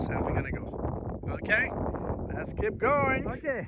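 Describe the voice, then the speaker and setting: A man's moderately paced speech is heard through audible room echo and noticeable background noise. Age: 60s. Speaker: amateur local historian vlogger. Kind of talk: outdoor vlog narration. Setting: outdoors on a marsh shoreline.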